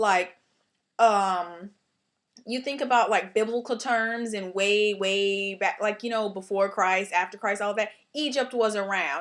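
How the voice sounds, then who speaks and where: Her voice sits at a medium pitch with fairly even intonation. This woman is on a very clean recording with a silent background. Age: 20s. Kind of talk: casual talk to camera. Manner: fast; rambling.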